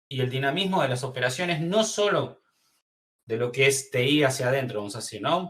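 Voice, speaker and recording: This man's speech has ordinary pitch variation. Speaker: webinar presenter. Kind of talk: webinar presentation. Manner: fast.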